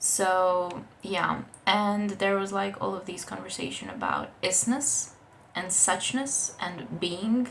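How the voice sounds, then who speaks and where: At a very slow pace, a woman of medium pitch with a non-native accent talks with ordinary pitch variation amid audible room echo. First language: not English. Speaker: book vlogger. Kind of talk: casual book review vlog. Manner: casual, with fillers and restarts.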